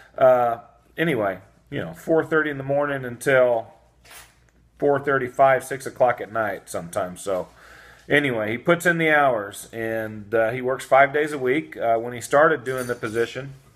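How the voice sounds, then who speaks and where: A man's voice at a moderate pace, its pitch varying in an ordinary way. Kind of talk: casual vlog chat. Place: home room. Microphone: phone near.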